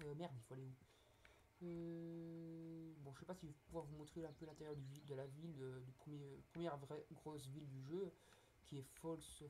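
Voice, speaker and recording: A man speaks with a dark, mellow tone at a fairly high pitch. His voice is somewhat breathy and his intonation monotone and flat. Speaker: gaming youtuber. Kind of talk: gameplay commentary. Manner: hesitant, many fillers. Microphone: poor recording quality.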